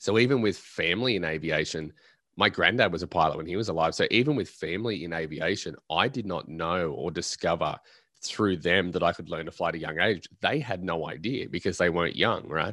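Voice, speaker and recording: A man's very deep, low voice at a fairly quick pace, with ordinary pitch variation and a quiet background. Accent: Australian. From Australia. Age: 20s. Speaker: pilot and motivational speaker. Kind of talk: interview.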